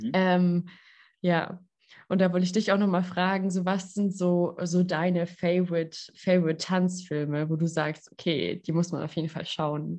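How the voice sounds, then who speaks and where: This woman talks at a moderate pace. Her voice sits fairly low in pitch. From southwest Germany, Lörrach area. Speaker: podcast host, physiotherapist and coach. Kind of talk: casual interview chat. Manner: animated.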